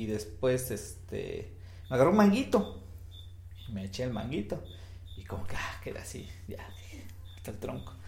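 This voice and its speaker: With audible room echo, a man speaks at medium pitch and moderate pace, his tone dark and mellow and somewhat breathy. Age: 30s. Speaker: podcast co-host. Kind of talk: casual chat.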